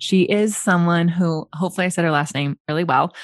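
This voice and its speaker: Fairly even intonation with a Californian accent against a quiet background. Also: woman. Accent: Californian American English. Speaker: podcast host and Pilates instructor. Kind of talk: interview.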